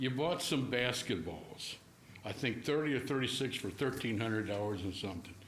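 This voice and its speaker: A man at medium pitch talks at a fairly quick pace with lively intonation. Room echo can be heard. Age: 70s. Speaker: resident giving public comment. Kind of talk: public comment. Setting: council chamber meeting.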